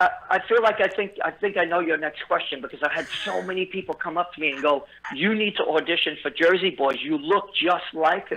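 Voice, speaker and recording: A man with a Brooklyn accent talks at a fairly quick pace in a high voice. Noticeable background noise runs behind him. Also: ordinary pitch variation. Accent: New York (Brooklyn). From New York City, Brooklyn (Bensonhurst). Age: 50s. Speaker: musician. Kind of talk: interview. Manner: halting, many fillers.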